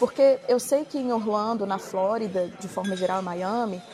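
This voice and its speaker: Over noticeable background noise, a woman speaks fairly slowly in a medium pitch with ordinary pitch variation. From Brazil. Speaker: former paralegal, immigrant. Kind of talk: casual chat.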